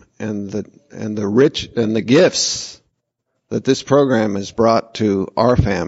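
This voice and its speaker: A man talks with fairly even intonation. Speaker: twelve-step speaker. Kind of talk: testimony. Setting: convention meeting room. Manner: projecting voice.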